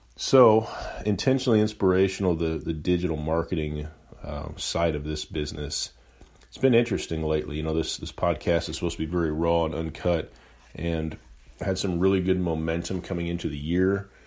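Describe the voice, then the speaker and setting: Here a man speaks with a very deep, low pitch. His pace is fairly quick. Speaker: podcast host and entrepreneur. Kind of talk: solo unedited monologue. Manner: monotone.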